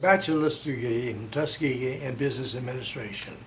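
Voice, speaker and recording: There is noticeable background noise behind this man. He talks at a moderate pace, with a medium pitch and ordinary pitch variation. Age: 80s+. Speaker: retired hospital administrator. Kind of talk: interview answer.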